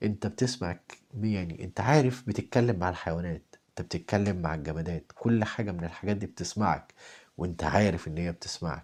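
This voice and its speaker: Soft-spoken, a man with an Egyptian accent and a very deep, low pitch talks at a moderate pace with ordinary pitch variation on a very clean recording with a silent background. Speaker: spiritual talk host. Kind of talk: spiritual talk.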